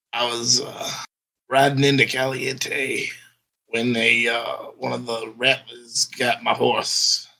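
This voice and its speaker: The man's delivery is fairly slow, in a medium pitch. He uses a put-on character voice that sounds raspy. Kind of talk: Old West.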